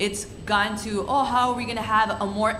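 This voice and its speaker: A woman speaks at a moderate pace in a fairly high pitch with monotone, flat intonation. The recording has audible room echo and noticeable background noise. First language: Spanish. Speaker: student panelist. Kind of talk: panel discussion.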